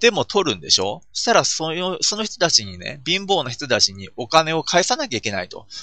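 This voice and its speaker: A man talks with hardly any pauses in a fairly high voice with vocal fry. His loudness swings a lot and his pitch swings very widely. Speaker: podcaster. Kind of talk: solo monologue podcast. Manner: many filler sounds, hesitant.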